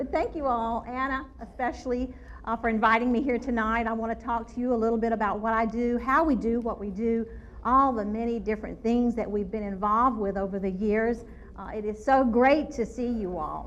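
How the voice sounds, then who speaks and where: A woman's fairly high voice in a North Louisiana accent at a fairly quick pace, with audible room echo. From North Louisiana (Shreveport area). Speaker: forensic anthropologist. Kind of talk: public lecture. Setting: ballroom with live audience. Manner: animated.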